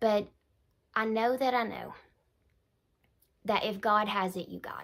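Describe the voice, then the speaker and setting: The background stays quiet while a woman speaks. Her pace is moderate and her intonation fairly even. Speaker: faith teacher. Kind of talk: casual vlog chat. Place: home room. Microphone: phone near.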